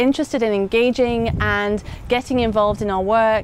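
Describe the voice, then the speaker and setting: Here a woman speaks with an English accent at a fairly high pitch. Her pace is moderate and her intonation fairly even. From England. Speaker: head of an educational organization. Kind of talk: interview. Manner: hesitant, many fillers.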